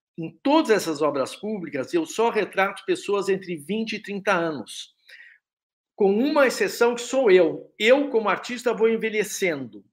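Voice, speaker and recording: This man's high voice swings very widely in pitch. The recording is very clean, with a silent background. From Brazil, São Paulo. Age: 60s. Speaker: artist. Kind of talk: interview.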